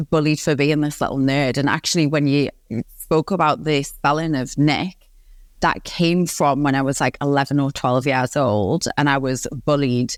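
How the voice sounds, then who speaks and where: A woman's very deep, low voice with a Geordie accent, moderate pace, fairly even intonation and very even loudness, on a very clean recording with a silent background. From northeast England, Newcastle upon Tyne. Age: 30s. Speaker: positive psychologist and coach. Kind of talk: podcast interview.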